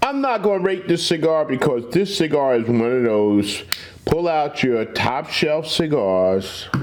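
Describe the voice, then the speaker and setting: A man speaks at a very slow pace, his pitch swinging very widely. Noticeable background noise runs underneath. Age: 60s. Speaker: cigar reviewer and truck owner. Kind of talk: casual vlog chat. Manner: relaxed, laid-back.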